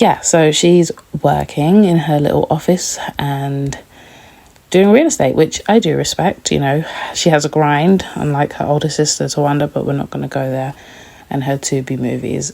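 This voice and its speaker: Noticeable background noise sits under the voice. The pace is moderate, with ordinary pitch variation. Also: woman. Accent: British. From London, England. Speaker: TV recap youtuber. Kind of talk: casual review chat. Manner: chatty, informal.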